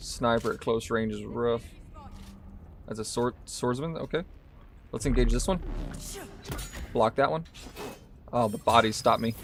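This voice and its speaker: A man with a Southern US accent, medium pitch and ordinary pitch variation, at a moderate pace with long, frequent pauses over noticeable background noise. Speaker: gaming streamer. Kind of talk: live gameplay commentary. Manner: casual, talking while playing.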